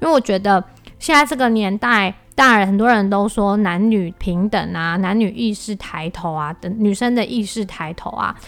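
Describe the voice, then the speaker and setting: At a moderate pace, a woman speaks in a plain, everyday voice with medium pitch. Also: ordinary pitch variation. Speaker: podcast host and entrepreneur. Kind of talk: solo podcast monologue.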